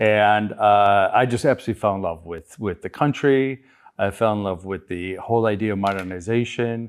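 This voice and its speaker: This man has a fairly low pitch and a normal speaking voice with an American accent. He talks at a moderate pace with ordinary pitch variation. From US Midwest, Chicago. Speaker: business founder. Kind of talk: interview.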